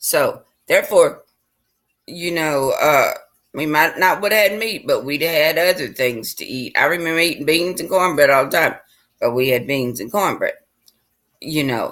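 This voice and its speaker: A woman with a Southern US accent speaks at a moderate pace in a fairly low pitch, with lively intonation and long, frequent pauses. The recording is very clean, with a silent background. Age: 60s. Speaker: vlogger. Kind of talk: casual monologue.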